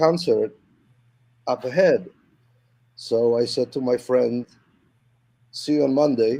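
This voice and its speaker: Dry and close with no echo, a man with a Polish accent speaks in a dark, mellow tone with ordinary pitch variation. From Poland, Warsaw. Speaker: musician. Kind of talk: casual interview chat. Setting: video call live stream. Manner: halting, many repetitions.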